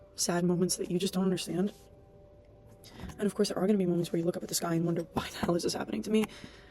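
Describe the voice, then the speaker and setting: Amid noticeable background noise, a woman speaks at a very fast pace and fairly low pitch, with fairly even intonation and long, frequent pauses. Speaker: vlogger and aspiring writer. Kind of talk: casual vlog monologue. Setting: public study space. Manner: soft-spoken. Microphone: laptop mic.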